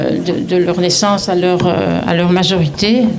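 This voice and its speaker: Noticeable background noise and audible room echo frame a woman at a medium pitch. She speaks at a fairly slow pace with ordinary pitch variation. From Brussels, Belgium. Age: 70s. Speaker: retiree promoting a direct-sales business. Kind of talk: event testimony speech. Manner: halting, many hesitations.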